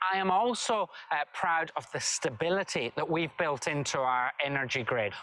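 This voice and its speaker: Over noticeable background noise, a man with a Scottish accent speaks fairly slowly in a high voice with lively intonation. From Scotland, Dumfries and Galloway. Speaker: government minister. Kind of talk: recorded video address.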